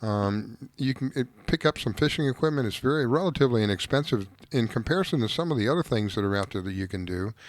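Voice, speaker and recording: A man speaking very fast with lively intonation, on a very clean recording with a silent background. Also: medium pitch for a man. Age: 60s. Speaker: fishing radio show host. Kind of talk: casual radio talk.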